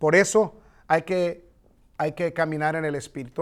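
Here, a man is speaking. He keeps a moderate pace. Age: 40s. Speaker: pastor. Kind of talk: bible study teaching.

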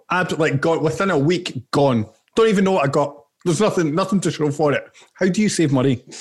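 Speaking very fast with a Glaswegian accent, a man uses a fairly high pitch, ordinary pitch variation and very even loudness. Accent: Glaswegian Scottish. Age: 20s. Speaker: podcast co-host. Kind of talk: casual chat.

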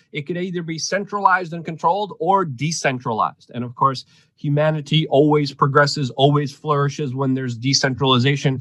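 A man with a fairly high pitch talks with hardly any pauses, ordinary pitch variation and big swings in loudness. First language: Polish. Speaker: news commentary host. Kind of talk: casual news commentary chat.

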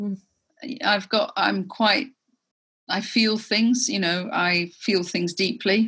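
In an English accent, a woman speaks with a bright, sharp tone and ordinary pitch variation. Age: 50s. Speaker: entrepreneur. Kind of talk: interview.

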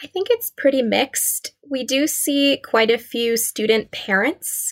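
A woman with an ordinary speaking voice talks at a fairly slow pace with lively intonation, in a dry, close sound with no echo. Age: 20s. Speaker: public health student and food justice advocate. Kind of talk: interview conversation.

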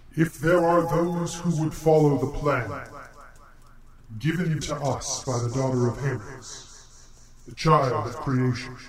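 A man uses a put-on character voice, fairly high-pitched and solemn in tone. He talks at a fairly slow pace with long, frequent pauses over clear background noise. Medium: actual play. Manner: formal, solemn.

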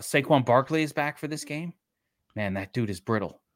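In a Brooklyn accent, a man speaks with lively intonation and an animated tone, the sound dry and close with no echo. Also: very clean recording, silent background. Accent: New York (Brooklyn). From Brooklyn, New York. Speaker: sports betting podcast co-host. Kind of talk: casual chat.

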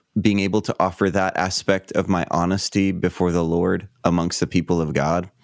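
A man talks in a very deep, low pitch, with a dry, close sound and no echo. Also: very clean recording, silent background. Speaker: pastor and author. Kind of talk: interview conversation.

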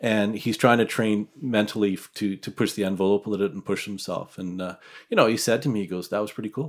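In a very clean recording with a silent background, a man with a Western Canadian accent and a fairly low pitch speaks at a very fast pace. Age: 50s. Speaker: hunter. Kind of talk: casual chat.

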